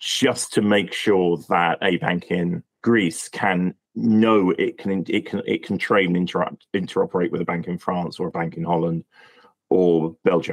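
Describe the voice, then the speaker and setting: Speaking at a fairly slow pace, a man with a British accent has a very deep, low pitch. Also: ordinary pitch variation. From UK. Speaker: API industry expert. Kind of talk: podcast interview. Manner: halting, frequent repetitions and fillers.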